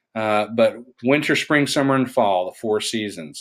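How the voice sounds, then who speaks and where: A man with an East Tennessee accent talks at a fairly low pitch with ordinary pitch variation. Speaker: science teacher. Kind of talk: recorded lecture. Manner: halting.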